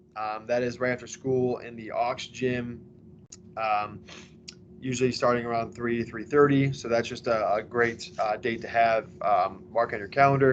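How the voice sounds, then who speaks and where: At a moderate pace, a man talks at a medium pitch with fairly even intonation and big swings in loudness. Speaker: school athletic director. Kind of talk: informational presentation. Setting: recorded online presentation. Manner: hesitant, many fillers.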